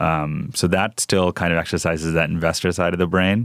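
A man with a New York accent speaks in a very deep, low voice at a moderate pace, his delivery monotone and flat, on a very clean recording with a silent background. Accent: general American, New York. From New York (Rockland County), Indian family. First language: South Indian language. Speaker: venture capital investor. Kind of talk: interview. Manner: many fillers, relaxed.

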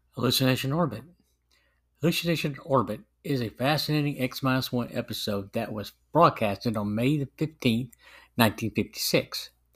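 A man with an ordinary speaking voice talks at a moderate pace in a medium pitch, with ordinary pitch variation, on a very clean recording with a silent background. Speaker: podcast host reviewer. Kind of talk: scripted review narration, read aloud.

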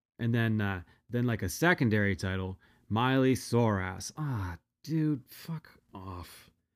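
Lively intonation colors an unremarkable speaking voice at a fairly slow pace. The recording is very clean, with a silent background. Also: man, fairly low pitch for a man. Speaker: podcast host. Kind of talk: storytelling monologue, casual. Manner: casual, filler-heavy, conversational.

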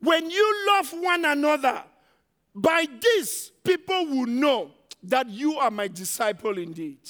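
A man speaks in a raised, projected voice with a bright, sharp tone. He sounds animated and keeps a fairly slow pace. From Africa. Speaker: visiting preacher. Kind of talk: sermon; energetic call-and-response sermon. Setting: church with live congregation. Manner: animated, rallying the crowd.

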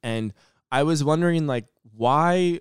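Using a plain, everyday voice, a man speaks at a fairly slow pace with ordinary pitch variation. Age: 30s. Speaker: podcast host and awareness advocate. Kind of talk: personal monologue. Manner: casual, filler-heavy.

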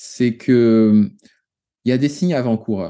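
At a very slow pace, a man speaks in a fairly low voice with a dark, mellow tone and fairly even intonation. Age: 30s. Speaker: watercolour teacher, former engineer. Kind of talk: interview. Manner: halting.

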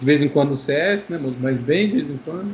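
A man's fairly high voice amid noticeable background noise. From Brazil, Maringá, Paraná. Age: 20s. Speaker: game streamer. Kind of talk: casual chat.

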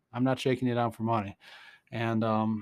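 With an unremarkable speaking voice, a man talks at a medium pitch and a fairly quick pace, keeping his intonation fairly even. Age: 50s. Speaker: podcast host and research scientist. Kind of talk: casual solo podcast monologue on science. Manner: rambling with frequent fillers and laughs.

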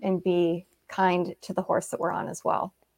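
A woman with a West Coast accent, at a medium pitch and a moderate pace, with monotone, flat intonation, on a very clean recording with a silent background. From Seattle, Washington, US. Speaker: brain injury survivor and author, former equine massage therapist. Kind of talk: interview conversation.

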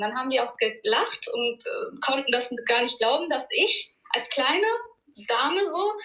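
A woman speaks with very wide swings in pitch. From Germany, Ruhr area (Duisburg). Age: 30s. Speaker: martial arts school owner. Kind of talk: interview.

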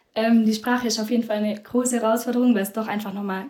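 The woman's fairly high voice stays monotone, with flat intonation. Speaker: volunteer after school. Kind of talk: casual interview.

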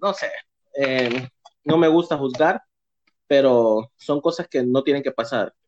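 In a plain, everyday voice, a man with fairly high pitch speaks at a fairly slow pace, the sound dry and close with no echo. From Honduras, San Pedro Sula. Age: 30s. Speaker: community figure. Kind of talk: casual interview.

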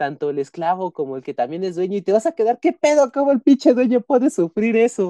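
A man's dark, mellow voice with very wide pitch swings, dry and close with no echo, over a quiet background. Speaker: podcast co-host. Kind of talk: casual chat.

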